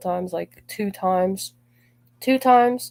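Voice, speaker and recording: In a normal speaking voice, a woman talks at medium pitch, her pitch varying in an ordinary way. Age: 20s. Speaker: gaming streamer. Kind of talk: livestream talk about personal grievances. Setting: live stream.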